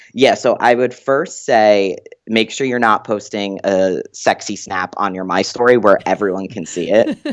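At a moderate pace and with hardly any pauses, a man with a normal speaking voice talks at a fairly low pitch with ordinary pitch variation. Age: 20s. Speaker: doctoral student in psychology. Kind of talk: casual interview.

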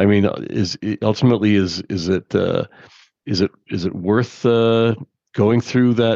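A man speaks at a fairly slow pace, his pitch fairly low and his intonation fairly even, in a plain, everyday voice. The sound is dry and close with no echo, over a quiet background. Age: 50s. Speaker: podcast co-host. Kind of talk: casual chat.

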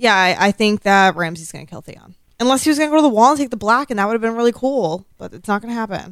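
Hardly pausing, a woman rattles along at a very fast pace with lively intonation. Her fairly high voice swings widely in loudness. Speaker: podcast co-host. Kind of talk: casual chat. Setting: live-streamed recording with chat room. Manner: sometimes quiet, off mic.

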